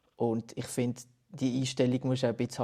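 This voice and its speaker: The man's voice has a dark, mellow tone at a medium pitch. Behind him, the background is quiet. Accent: Basel. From Basel, Switzerland. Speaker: musician. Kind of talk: casual interview.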